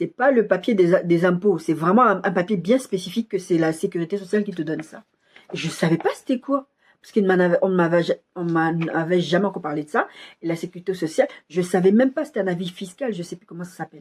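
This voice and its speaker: Speaking at a very fast pace, a woman uses a medium pitch with ordinary variation. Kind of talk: sermon with personal testimony. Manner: soft-spoken.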